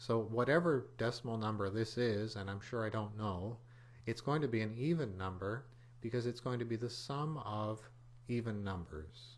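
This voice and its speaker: With a somewhat breathy quality, this man's voice sits at a medium pitch. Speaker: computer programming teacher. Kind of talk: tutorial.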